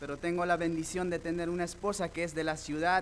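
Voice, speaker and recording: Audible room echo surrounds a voice with an Andean accent. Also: man. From rural Peru, Andes. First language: Quechua (speaking Spanish). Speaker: lay preacher, deacon. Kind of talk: sermon. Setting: church.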